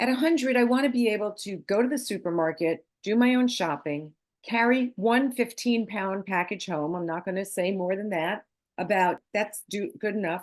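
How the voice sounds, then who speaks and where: A woman with an unremarkable speaking voice, lively intonation and a moderate pace, against a quiet background. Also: medium pitch for a woman. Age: 60s. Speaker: leadership coach and gerontologist. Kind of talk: interview conversation.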